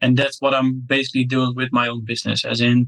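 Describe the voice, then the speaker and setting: A man with a Dutch accent speaks at a medium pitch in a bright, sharp tone. The sound is dry and close, with no echo. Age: 30s. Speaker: SaaS entrepreneur. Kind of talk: interview.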